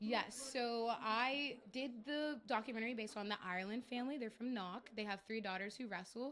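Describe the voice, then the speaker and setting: A woman's fairly high voice with an American accent, moderate pace, ordinary pitch variation and hardly any pauses. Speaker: graduate student, halftime guest. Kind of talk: sports interview.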